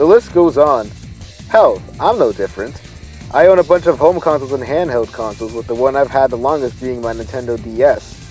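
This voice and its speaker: Over music in the background, a man with a medium pitch talks at a fairly quick pace with lively intonation. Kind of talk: casual video essay narration. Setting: home recording, low-quality mic.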